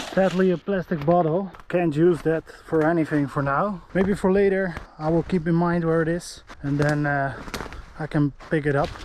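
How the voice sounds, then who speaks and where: Against noticeable background noise, a man with a non-native accent talks at a moderate pace in a high pitch, his intonation fairly even. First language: not English. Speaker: outdoor survival vlogger. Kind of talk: vlog narration. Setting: outdoors. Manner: halting.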